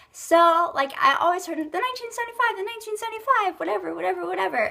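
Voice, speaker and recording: Over noticeable background noise, a raised, projected voice talks at a very fast pace. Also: woman. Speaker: beauty vlogger. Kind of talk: casual chat. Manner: rambling filler-heavy casual.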